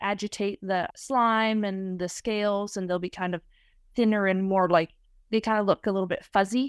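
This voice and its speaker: In a very clean, dry, close recording with no echo and a silent background, a woman speaks at a moderate pace with medium pitch in a normal speaking voice. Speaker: field researcher sampling wild salmon. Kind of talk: interview.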